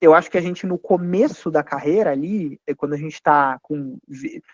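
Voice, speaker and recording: At a moderate pace, a man talks with fairly high pitch and ordinary pitch variation, his sound dry and close with no echo. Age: 30s. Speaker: financial firm founder. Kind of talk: panel talk to students. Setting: university event. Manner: hesitant fillers.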